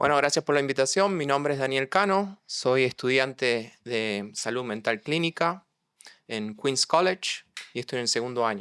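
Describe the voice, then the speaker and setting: On a very clean recording with a silent background and a dry, close sound with no echo, a man with a slight Argentine accent speaks at a moderate pace and medium pitch with lively intonation. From Argentina, San Luis province. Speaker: mental health counseling student. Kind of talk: interview conversation.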